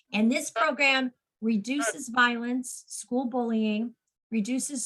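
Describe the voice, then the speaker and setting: At a moderate pace, a woman with a fairly high pitch and fairly even intonation speaks in an ordinary speaking voice. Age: 60s. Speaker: suicide prevention advocate. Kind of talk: interview.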